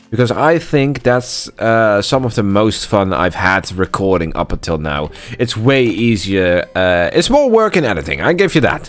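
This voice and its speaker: With very wide pitch swings and hardly any pauses, a man talks at a moderate pace. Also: medium pitch for a man. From Netherlands. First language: Dutch. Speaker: gaming YouTuber. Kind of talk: let's play commentary. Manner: frequent filler words (uh, um); casual, slightly halting.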